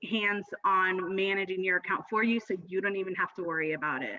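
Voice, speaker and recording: At a moderate pace and with ordinary pitch variation, the speech comes through noticeable background noise. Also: woman. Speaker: Pinterest marketing strategist. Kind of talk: video call interview. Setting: video call.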